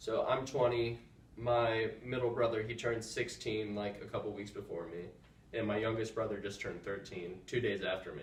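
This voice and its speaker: Audible room echo surrounds a man's medium-pitched voice. He keeps a fairly even intonation at a moderate pace. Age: 20s. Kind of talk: casual chat. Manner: calm.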